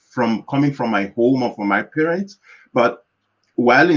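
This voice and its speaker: A man talks at a moderate pace with a Yoruba accent. His intonation is lively and his pitch medium. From Nigeria. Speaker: organization founder. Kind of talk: panel discussion. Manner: halting.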